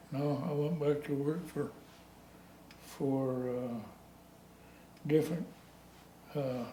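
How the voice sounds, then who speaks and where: Over noticeable background noise and audible room echo, a man with a rural western American accent speaks at a fairly high pitch in a monotone, flat intonation. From US West, rural Colorado (San Luis Valley). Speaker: retired heavy equipment operator, local old-timer. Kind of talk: oral history interview. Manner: halting.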